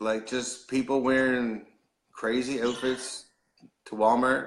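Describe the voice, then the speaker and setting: Here a man speaks in a Newfoundland accent. His pace is fairly slow. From Newfoundland, Canada. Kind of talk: casual conversation.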